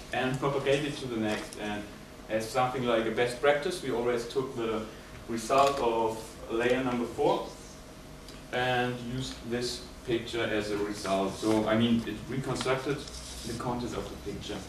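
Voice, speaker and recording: With a German accent, a man speaks at a moderate pace and medium pitch in fairly even intonation, with audible room echo and noticeable background noise. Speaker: student. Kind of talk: project presentation. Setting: presentation room with audience, no microphone. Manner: hesitant, with fillers.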